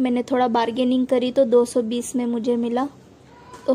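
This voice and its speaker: Her voice is a woman's, pitched high. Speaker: homemaker vlogger. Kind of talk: casual vlog chat. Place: market. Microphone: phone near.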